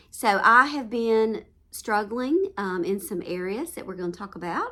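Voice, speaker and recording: A woman with a Southern US accent speaks at a fairly slow pace in a bright, sharp tone. Her intonation is lively and her loudness swings widely. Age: 50s. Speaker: home lifestyle vlogger. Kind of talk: casual chat. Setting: at home.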